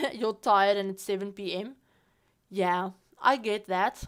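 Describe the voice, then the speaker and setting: A woman with a non-native accent speaks in a medium pitch, with monotone, flat intonation and a fairly slow pace. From South Africa. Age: 20s. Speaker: Sims streamer. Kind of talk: casual livestream chat. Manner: casual, halting with repeats.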